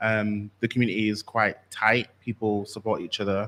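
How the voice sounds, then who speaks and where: A man with a slight Yorkshire accent on a very clean recording with a silent background. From West Yorkshire, Bradford. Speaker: workshop presenter. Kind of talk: workshop presentation.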